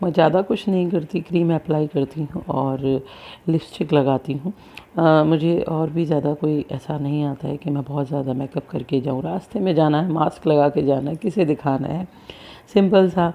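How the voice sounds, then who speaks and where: A woman speaks fairly slowly with a very deep, low pitch and fairly even intonation. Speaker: vlogger, mother of two. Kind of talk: casual vlog.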